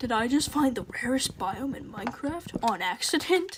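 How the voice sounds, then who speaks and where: A woman speaks quietly with lively intonation over noticeable background noise. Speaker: gaming streamer. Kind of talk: live gameplay stream chat.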